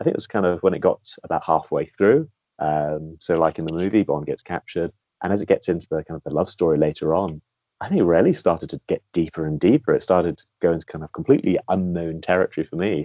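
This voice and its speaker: Speaking at a very fast pace, a man talks in a British accent. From Britain. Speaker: guest, film series fan. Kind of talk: interview.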